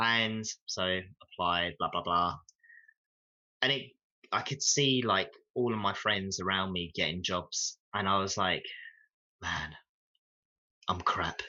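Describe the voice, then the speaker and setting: With a British accent, the speaker moves at a very slow pace, using ordinary pitch variation and long, frequent pauses. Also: man, fairly low pitch for a man. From UK. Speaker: 3D game artist. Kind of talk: casual interview chat. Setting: live video stream Q&A. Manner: halting, many fillers and restarts.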